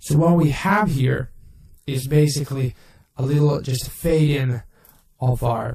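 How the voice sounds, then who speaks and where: This man has a dark, mellow tone at medium pitch, somewhat breathy, with ordinary pitch variation. He talks at a fairly slow pace. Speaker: video effects tutorial maker. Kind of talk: tutorial. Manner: halting, with self-corrections.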